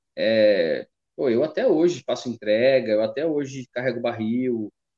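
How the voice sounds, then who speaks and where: An ordinary speaking voice: a man of medium pitch at a fairly slow pace, with ordinary pitch variation. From Taubaté, São Paulo state, Brazil. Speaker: podcast host. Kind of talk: casual interview chat. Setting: at his mother's house.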